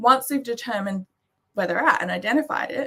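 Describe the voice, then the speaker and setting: A woman speaks in an Australian accent at a fairly high pitch. Her tone is bright and sharp, and her intonation is lively. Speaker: maths education presenter. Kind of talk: presentation. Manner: fast.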